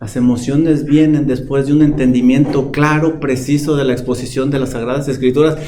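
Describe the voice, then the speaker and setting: Heard through audible room echo and noticeable background noise, a man talks in a fairly high pitch with fairly even intonation. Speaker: pastor. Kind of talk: sermon. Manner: calm, not shouting.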